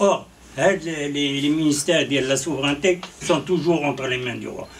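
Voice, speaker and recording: Noticeable background noise accompanies a man talking fairly slowly, his pitch varying in an ordinary way. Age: 60s. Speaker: journalist and political commentator. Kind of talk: political interview. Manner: halting, many repetitions.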